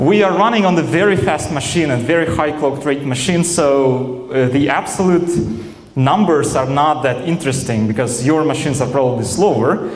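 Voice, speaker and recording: The speaker goes at a moderate pace with ordinary pitch variation and very even loudness. Noticeable background noise and audible room echo are present. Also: man, fairly high pitch for a man. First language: Russian. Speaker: software engineer, conference speaker. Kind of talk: conference talk. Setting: stage with audience. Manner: hesitant, many fillers.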